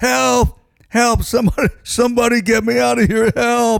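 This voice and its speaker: A man shouting in a put-on character voice, extremely high in pitch, at a fairly slow pace. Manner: screaming for help.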